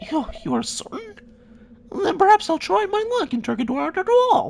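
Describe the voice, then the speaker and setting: An extremely high, put-on character voice swings very widely in pitch at a moderate pace. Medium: machinima. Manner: archaic, mournful.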